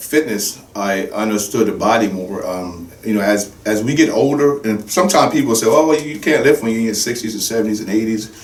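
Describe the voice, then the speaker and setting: A medium-pitched man's voice with audible room echo and noticeable background noise. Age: 60s. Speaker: fitness trainer. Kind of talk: podcast interview.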